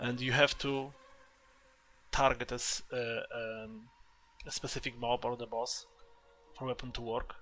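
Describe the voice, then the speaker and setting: Over background music, a man with a non-native accent speaks at a fairly slow pace in a medium pitch, his intonation monotone and flat, with long, frequent pauses. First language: not English. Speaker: gaming content creator. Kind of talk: gameplay tutorial. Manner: halting, with many fillers.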